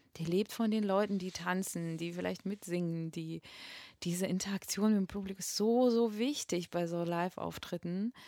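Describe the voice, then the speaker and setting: In a Russian accent, this voice has a dark, mellow tone and fairly even intonation. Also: woman, medium pitch for a woman, moderate pace, dry, close sound with no echo. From Russia, Moscow. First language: Russian (speaking German). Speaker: singer and voice teacher. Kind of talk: interview. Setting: flat share, in person. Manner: halting, many fillers.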